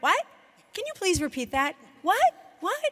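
In a put-on character voice, a woman talks fairly slowly with a squeaky, extremely high pitch and very wide pitch swings. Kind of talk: speech. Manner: shouting.

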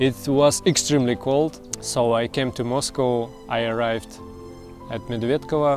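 Against clear music in the background, a man speaks at a moderate pace with fairly even intonation, in a dry sound with no echo. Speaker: channel host telling his life story. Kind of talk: personal story narration to camera. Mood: calm, reflective. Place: waterside. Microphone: lapel.

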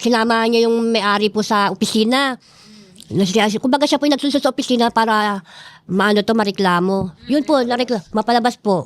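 This woman has a normal speaking voice, fairly high in pitch with ordinary pitch variation, very even loudness, a fairly quick pace and a dry, close sound with no echo. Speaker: cemetery resident. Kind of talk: interview testimony. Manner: polite, uses po.

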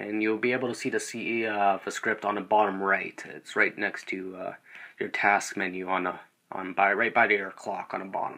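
In a bright, sharp tone, a man talks at a moderate pace with monotone, flat intonation. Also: fairly low pitch for a man. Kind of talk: screen-recorded software tutorial. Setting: low-quality microphone. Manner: hesitant, many filler words.

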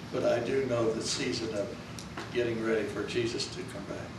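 A man's voice carries audible room echo and noticeable background noise. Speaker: pastor. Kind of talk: sermon. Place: church. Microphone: camera far.

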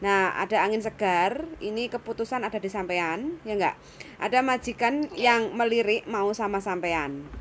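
An unremarkable speaking voice from a woman, fairly high in pitch with lively intonation, at a moderate pace over light background noise. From Indonesia. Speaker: YouTuber, migrant worker recruiter; vlogger. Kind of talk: casual interview. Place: home room. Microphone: phone near.

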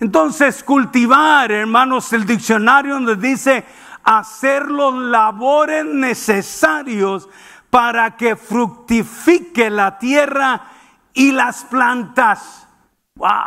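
A man's raised, projected voice at an extremely high pitch, bright and sharp in tone, at a very slow pace against a quiet background. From Mexicali, northern Mexico; Mexico. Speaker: preacher. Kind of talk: sermon. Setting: church. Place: church. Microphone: headset.

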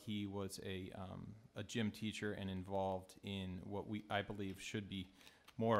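The speaker is a man with a fairly low pitch. He talks at a fairly slow pace. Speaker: town councilor. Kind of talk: council member remarks at meeting. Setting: council chamber, public meeting. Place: meeting room. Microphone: podium.

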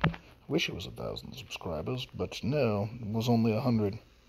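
A man with a fairly low pitch speaks at a moderate pace with lively intonation. Vocal fry runs through his voice. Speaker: YouTuber. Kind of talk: casual vlog talk. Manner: hesitant with fillers.

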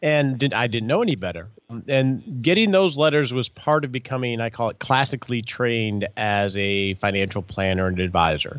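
In an ordinary speaking voice, a man of medium pitch talks at a moderate pace over a quiet background. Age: 50s. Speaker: financial planner. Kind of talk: interview. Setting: phone call.

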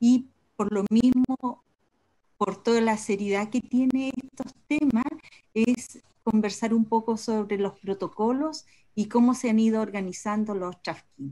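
A woman speaks in a Chilean accent at a fairly high pitch with ordinary pitch variation and a fairly slow pace. Her tone is dark, mellow and somewhat breathy, over a quiet background. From southern Chile. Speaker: agroecologist; speaker. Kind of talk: presentation. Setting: video call. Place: home room. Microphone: video call.

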